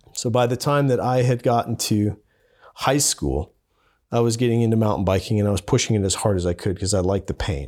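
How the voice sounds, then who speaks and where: A man with an American accent, medium pitch, ordinary pitch variation, very even loudness, and a very fast pace on a very clean recording with a silent background. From Montana, Billings. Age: 30s. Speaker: overland filmmaker. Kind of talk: interview conversation.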